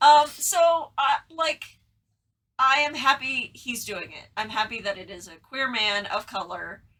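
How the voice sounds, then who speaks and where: With a raised, projected voice, a woman speaks high and animated in a bright, sharp tone, her pitch swinging very widely and her loudness swinging a lot. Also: fairly slow pace. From Texas. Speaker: podcast co-host. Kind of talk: casual chat. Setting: in the same room with co-host.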